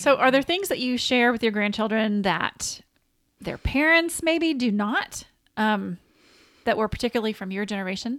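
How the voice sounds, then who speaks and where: A Southern US accent with lively intonation at a moderate pace, on a very clean recording with a silent background. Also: woman, fairly high pitch for a woman. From US South. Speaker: podcast co-host. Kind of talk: casual chat.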